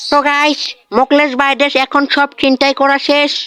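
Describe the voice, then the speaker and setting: A cartoonish character voice talks in a high pitch with monotone, flat intonation. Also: moderate pace. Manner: chatty vlogger patter.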